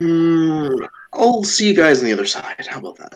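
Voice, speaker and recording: A man's put-on character voice, high-pitched, at a moderate pace with very wide pitch swings and big swings in loudness. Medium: actual play.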